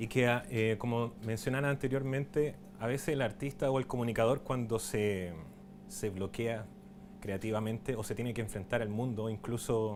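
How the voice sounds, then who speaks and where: The voice has ordinary pitch variation, and audible room echo can be heard. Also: man. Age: 30s. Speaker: documentary filmmaker and writer giving a talk. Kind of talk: conference talk. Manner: hesitant, many fillers and restarts.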